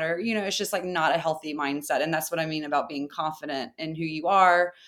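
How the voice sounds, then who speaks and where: In a very clean recording with a silent background, a woman with an ordinary speaking voice talks at a fairly low pitch with ordinary pitch variation. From US South, small town. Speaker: furniture maker and business co-owner. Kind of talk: interview.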